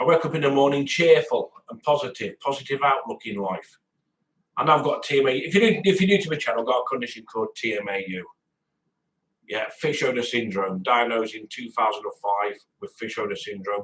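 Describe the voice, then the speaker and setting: Moving at a fairly quick pace, a man's voice shows very wide pitch swings and big swings in loudness. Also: fairly high pitch for a man. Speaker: vlogger. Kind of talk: casual monologue vlog. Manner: halting, repetitive.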